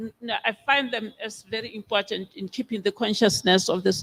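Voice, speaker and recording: The speaker has a Botswana accent. The pace is fairly quick. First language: Setswana. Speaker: biblical scholar. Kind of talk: conference Q&A answer. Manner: hesitant, many fillers.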